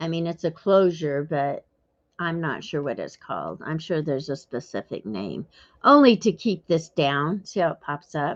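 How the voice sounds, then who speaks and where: With lively intonation and vocal fry, a woman speaks at a fairly low pitch and a moderate pace over a quiet background. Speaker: craft YouTuber. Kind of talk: casual chat while crafting.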